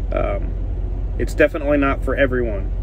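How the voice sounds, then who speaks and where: A man is speaking in a dry sound with no echo. Noticeable background noise runs underneath. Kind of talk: casual vlog chat. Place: car. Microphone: phone near.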